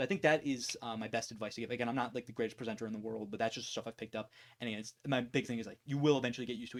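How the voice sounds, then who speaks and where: Speaking at a very fast pace, the man has a medium pitch. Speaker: YouTuber answering viewer questions. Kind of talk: casual Q&A chat. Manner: fast, with many ums.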